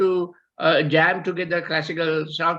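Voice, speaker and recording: A man's raised, projected voice carries a bright, sharp tone at a fairly slow pace. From Sri Lanka. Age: 70s. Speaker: guitarist and former band member. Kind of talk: casual reminiscence. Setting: video call. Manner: halting, many fillers.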